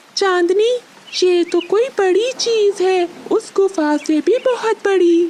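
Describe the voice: An extremely high, cartoonish character voice at a fairly slow pace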